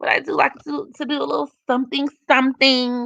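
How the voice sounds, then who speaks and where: A woman projects a raised, high-pitched voice with a bright, sharp tone and ordinary pitch variation, speaking at a fairly slow pace in a dry, close sound with no echo. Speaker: astrology livestreamer. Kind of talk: live stream chat reading comments. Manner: casual, animated.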